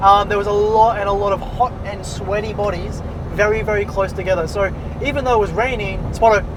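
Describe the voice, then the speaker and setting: With an Australian accent, a man speaks in a high pitch and a monotone, flat intonation. Noticeable background noise and audible room echo are present. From Australia, Sunshine Coast, Queensland. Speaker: podcast co-host, small youtuber. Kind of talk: casual chat.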